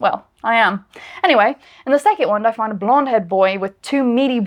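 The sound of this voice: The reading voice heard here is unforced.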